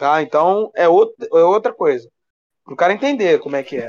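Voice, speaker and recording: Heard in a dry, close sound with no echo, a man with a high voice speaks at a moderate pace, his pitch swinging very widely. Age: 30s. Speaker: sports journalist. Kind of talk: casual chat.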